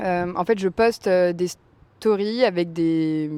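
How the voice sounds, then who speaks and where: A woman speaks at a fairly low pitch in a dark, mellow tone. Her pitch variation is ordinary. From Normandy, France. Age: 20s. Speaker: home-restaurant cook and entrepreneur. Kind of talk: podcast interview. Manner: casual, with frequent fillers (euh).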